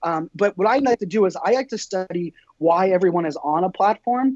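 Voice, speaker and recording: Dry and close with no echo, a man's high-pitched voice sounds animated, with ordinary pitch variation. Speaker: entrepreneur and social media speaker. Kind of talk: podcast interview. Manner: fast.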